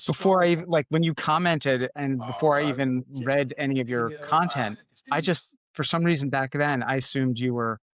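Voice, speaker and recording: A man with an American accent and an unremarkable speaking voice, fairly high in pitch, with ordinary pitch variation and a fairly quick pace. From Connecticut, US. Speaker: podcast host, former print journalist. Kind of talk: casual interview chat.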